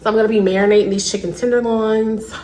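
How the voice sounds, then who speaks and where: A woman speaks quietly at a fairly quick pace, with noticeable background noise and audible room echo. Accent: American. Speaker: lifestyle vlogger. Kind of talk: casual vlog talk to camera. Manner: quiet, toned down; chatty, filler-heavy.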